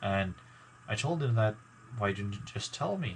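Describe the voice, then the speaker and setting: Mumbling, somewhat breathy speech from a man at a fairly low pitch. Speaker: gaming YouTuber. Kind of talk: casual vlog talk to viewers. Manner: halting, many fillers.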